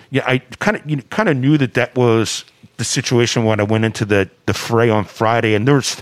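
A man speaks at medium pitch in a plain, everyday voice. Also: fairly even intonation, fairly quick pace. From US. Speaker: DJ. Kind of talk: casual chat.

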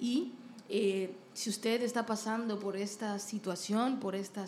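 Amid noticeable background noise, a woman talks at a medium pitch with fairly even intonation. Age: 30s. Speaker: podcast host and singer. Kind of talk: casual interview chat.

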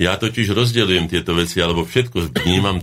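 At a moderate pace, a man speaks with vocal fry. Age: 60s. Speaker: academic painter. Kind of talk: radio talk show interview.

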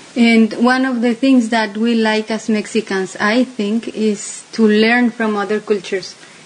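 Noticeable background noise sits behind a woman with a fairly high voice. She speaks at a fairly slow pace in a flat monotone. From Mexico City. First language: Spanish (speaking Slovak). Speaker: interview guest. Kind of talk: interview.

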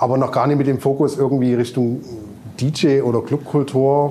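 A man talks at a medium pitch and moderate pace over noticeable background noise. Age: 40s. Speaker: DJ and festival organizer. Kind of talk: casual chat. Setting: club venue.

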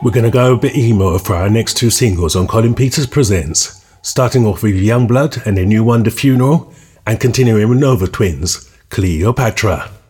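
Speaking at medium pitch in a somewhat breathy voice, a man talks with hardly any pauses, very even loudness and ordinary pitch variation. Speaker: radio DJ. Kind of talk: radio DJ patter, scripted-sounding track intros and back-announcements. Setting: radio show. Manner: upbeat, brisk, polished broadcaster delivery; enthusiastic, moving quickly from one track to the next.

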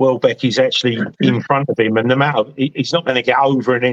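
In an ordinary speaking voice, a man talks at a fairly quick pace with fairly high pitch and fairly even intonation, the sound dry and close with no echo. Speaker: football fan panellist. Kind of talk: casual chat. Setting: video call.

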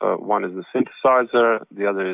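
A man with a Slovene accent talks at a fairly slow pace in a medium pitch. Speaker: jazz saxophonist and composer. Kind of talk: interview. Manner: halting.

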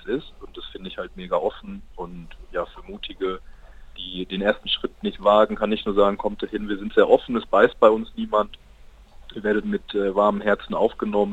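His loudness rising and falling in big swings, a man speaks at a moderate pace. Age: 20s. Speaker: university student and campus radio member. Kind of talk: casual interview. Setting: call into radio studio.

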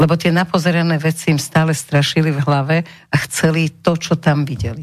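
A woman talks at a moderate pace in a very deep, low pitch. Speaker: radio talk show host. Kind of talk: radio talk show. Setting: radio studio. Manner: seductive, cooing.

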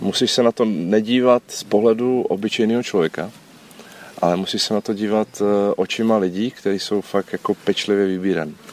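A man's fairly low voice at a fairly quick pace with fairly even intonation, dry and close with no echo, over noticeable background noise. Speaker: former special police officer. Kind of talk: interview.

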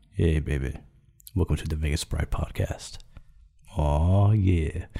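Using a put-on character voice, a man speaks hoarsely at a fairly slow pace with a very deep, low pitch. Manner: smooth, seductive.

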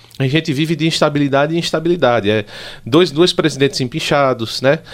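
On a very clean recording with a silent background, a man talks at a fairly quick pace with lively intonation and a fairly high pitch. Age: 30s. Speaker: pharmacist and monarchist group leader. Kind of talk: interview. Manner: halting.

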